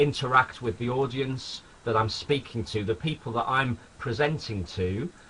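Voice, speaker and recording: Through noticeable background noise, a man speaks at a moderate pace with medium pitch and ordinary pitch variation. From northern England, Sunderland, County Durham. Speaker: network marketing distributor. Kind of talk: webinar training presentation. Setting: home office, webinar broadcast.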